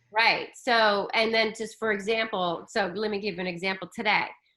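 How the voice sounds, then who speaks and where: A woman speaks loudly at a fairly high pitch with a bright, sharp tone. The recording is very clean, with a silent background. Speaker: spiritual coach. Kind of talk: casual chat. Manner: animated.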